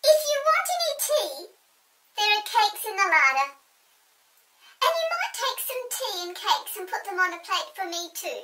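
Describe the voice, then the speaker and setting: A put-on character voice comes out at an extremely high pitch. It moves at a moderate pace, broken by long, frequent pauses. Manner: quacking.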